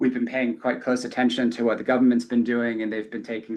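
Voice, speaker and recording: A man with a British accent and monotone, flat intonation. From UK. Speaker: company executive. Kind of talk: earnings call remarks.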